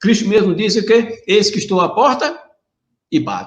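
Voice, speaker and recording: A man is speaking. His pace is moderate. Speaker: preacher. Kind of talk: sermon. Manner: animated.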